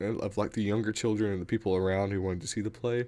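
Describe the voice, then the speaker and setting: Soft-spoken and fairly low in pitch, a man talks in a dark, mellow tone on a very clean recording with a silent background. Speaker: gamer livestreamer. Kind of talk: casual chat. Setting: livestream from game room. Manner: loud, projecting voice; speaking softly.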